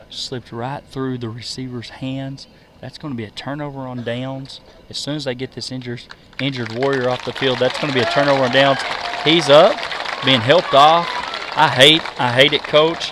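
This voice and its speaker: Over noticeable background noise, a man of medium pitch speaks at a moderate pace with big swings in loudness. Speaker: high school football play-by-play announcer. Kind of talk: live commentary. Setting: outdoors. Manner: animated.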